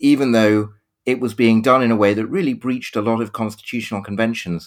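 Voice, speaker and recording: The speaker is a man with a British accent. He speaks at a very fast pace. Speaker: history professor. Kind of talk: panel discussion. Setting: video call. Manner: halting with repetitions.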